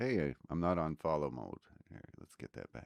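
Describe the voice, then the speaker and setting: A man speaks at a moderate pace in a very deep, low voice with vocal fry and lively intonation. The sound is dry and close, with no echo. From Canada. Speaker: guitarist and music reactor. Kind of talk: live-streamed music reaction commentary. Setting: live stream with music playing. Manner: casual, halting with fillers.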